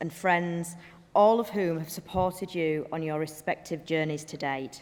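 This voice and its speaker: In a northern English accent, a woman talks at a moderate pace. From northern England. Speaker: business executive and graduation speaker. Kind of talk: ceremonial speech. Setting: graduation hall with audience.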